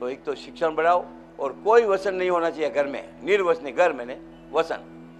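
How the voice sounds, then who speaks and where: Music plays behind a man whose fairly high-pitched voice moves at a moderate pace. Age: 80s+. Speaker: hospital founder and devotee speaking at religious event. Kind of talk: public speech at religious event.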